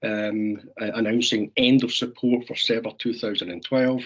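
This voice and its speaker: At a moderate pace, a man with a Scottish accent speaks at a medium pitch with fairly even intonation. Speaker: software sales representative. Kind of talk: webinar presentation.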